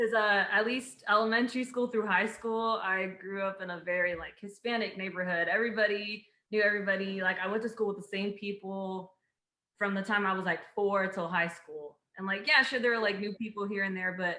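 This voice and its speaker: Woman at a fairly quick pace, medium pitch with fairly even intonation, an ordinary speaking voice. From Houston, Texas. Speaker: civil engineer. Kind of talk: casual chat.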